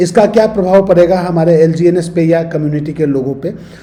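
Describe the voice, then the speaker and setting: A man with fairly even intonation, over noticeable background noise. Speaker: crypto YouTuber. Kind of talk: market update and analysis.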